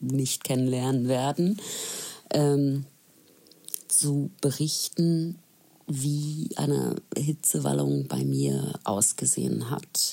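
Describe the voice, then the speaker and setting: A woman talks at a very slow pace. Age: 40s. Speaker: listener sharing experience. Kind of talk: personal testimony.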